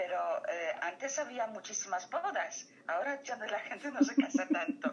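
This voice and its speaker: A woman with a Polish accent speaks at a high pitch, with very wide pitch swings. Noticeable background noise sits behind her. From Poland. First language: Polish (speaking Spanish). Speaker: photographer. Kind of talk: interview. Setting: phone call.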